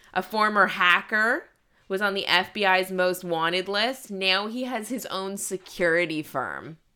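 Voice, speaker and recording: On a very clean recording with a silent background, a woman with a plain, everyday voice speaks at a medium pitch and a fairly slow pace, with ordinary pitch variation. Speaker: comedian podcast host. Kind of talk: casual chat. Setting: studio.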